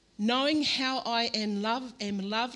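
In a very clean recording with a silent background, a woman with an Australian accent speaks at a fairly slow pace. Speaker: pastor. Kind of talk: sermon. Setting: church stage with microphone.

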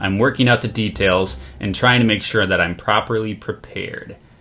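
A man at medium pitch talks at a fairly quick pace over noticeable background noise. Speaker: podcast host. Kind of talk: casual chat.

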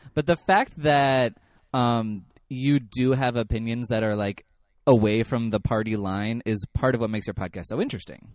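An unremarkable speaking voice from a man of medium pitch, with ordinary pitch variation, a moderate pace, and a dry, close sound with no echo. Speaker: horror podcast host. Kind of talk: casual interview chat.

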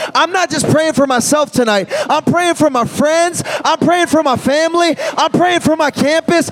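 Noticeable background noise sits under an animated tone with ordinary pitch variation. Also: man. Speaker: youth pastor. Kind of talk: altar call. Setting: stage with audience. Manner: animated, rousing.

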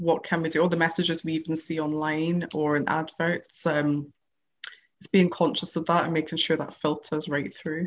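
With a British accent, a woman speaks at a moderate pace with a fairly low pitch and monotone, flat intonation. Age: 20s. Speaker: freelance journalist. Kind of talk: casual chat.

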